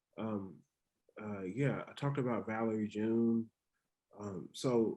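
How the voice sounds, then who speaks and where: A man with an American accent speaks at a moderate pace in a medium pitch. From North Carolina. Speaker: poet. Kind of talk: Q&A talk. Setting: video call. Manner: halting.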